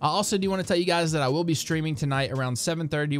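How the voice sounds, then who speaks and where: A man with an American accent and ordinary pitch variation, music in the background. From US South, southern West Virginia. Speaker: YouTube TV-show commentator. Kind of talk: casual vlog commentary. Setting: home recording with child on lap.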